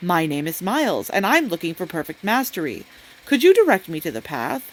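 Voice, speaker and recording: Putting on a character voice, a woman talks at a fairly quick pace with very wide pitch swings and big jumps in loudness. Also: fairly low pitch for a woman. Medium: read story. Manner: earnest, questioning.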